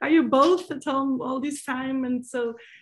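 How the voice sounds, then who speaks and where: A woman's voice with a Portuguese accent. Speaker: winemaker. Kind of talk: panel discussion. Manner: halting.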